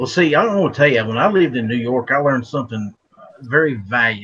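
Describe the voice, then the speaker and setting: A man with an American accent, medium in pitch, fairly quick and lively in intonation, a normal speaking voice. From West Virginia. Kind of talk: casual chat.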